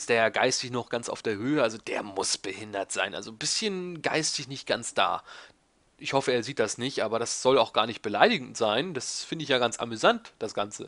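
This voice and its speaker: In a quiet setting, a man talks at a fairly quick pace at a medium pitch, his tone bright and sharp with ordinary pitch variation. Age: 20s. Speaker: YouTuber answering viewer questions. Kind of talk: casual monologue, Q&A video. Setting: home recording in desk chair. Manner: rambling, talkative.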